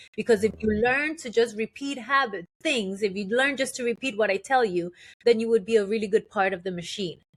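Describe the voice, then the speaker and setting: Fairly high in pitch, a woman speaks with a Spanish accent and an animated tone. Her pace is fairly quick, with ordinary pitch variation. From Colombia, moved to New York at eight. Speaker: transformational guide. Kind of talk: podcast interview. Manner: animated, with many fillers and restarts.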